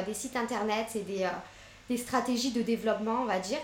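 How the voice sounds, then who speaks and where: A woman speaks at a fairly quick pace with a fairly high pitch. Noticeable background noise and audible room echo surround her voice. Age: 30s. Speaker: entrepreneur, postpartum caterer. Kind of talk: interview.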